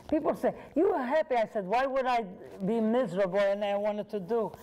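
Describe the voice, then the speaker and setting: A woman's voice over noticeable background noise. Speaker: author and inspirational speaker. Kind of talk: talk with audience Q&A. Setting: library event with audience.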